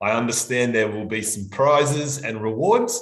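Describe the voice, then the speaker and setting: A man talks at a fairly slow pace with an Australian accent, and the room echo is audible. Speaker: language examiner and teacher. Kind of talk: live online workshop. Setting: live stream.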